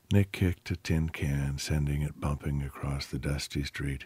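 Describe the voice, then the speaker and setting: Somewhat breathy and dramatic in tone, a man speaks at a moderate pace in a very deep, low pitch. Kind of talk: audiobook narration. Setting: audiobook sample. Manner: dramatic, storytelling delivery with character voices.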